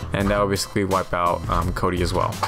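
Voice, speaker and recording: Clear music plays in the background. Over it, a man speaks at a fairly low pitch. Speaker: tutorial narrator. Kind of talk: tutorial.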